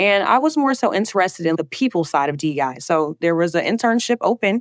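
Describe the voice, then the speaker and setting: In a dry, close sound with no echo, a woman speaks at a fairly quick pace. She has a Southern US accent and lively intonation. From US South, Alabama. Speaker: DEI specialist. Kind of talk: podcast interview.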